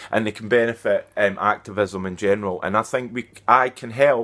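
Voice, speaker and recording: A man with a Scottish accent speaks at a medium pitch and a moderate pace. The recording is very clean, with a silent background. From Scotland. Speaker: activist. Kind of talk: vlog monologue. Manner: direct, emphatic; halting.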